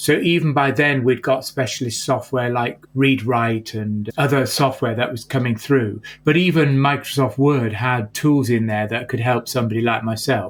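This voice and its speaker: A man's unremarkable speaking voice at a medium pitch and moderate pace, with fairly even intonation, in a very clean recording with a silent background. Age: 60s. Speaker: entrepreneurship professor. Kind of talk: interview conversation.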